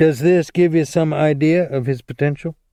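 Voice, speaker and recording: Doing a put-on character voice, a man sounds strained at a fairly high pitch, with fairly even intonation and a moderate pace. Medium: read story.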